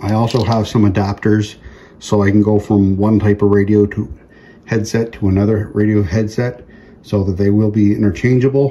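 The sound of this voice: A man speaks at a fairly low pitch with a dark, mellow tone. His pitch barely moves. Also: moderate pace.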